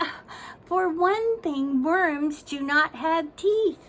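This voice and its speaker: A woman uses a put-on character voice at an extremely high pitch. She talks at a very slow pace with ordinary pitch variation. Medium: read story. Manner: formal, proper.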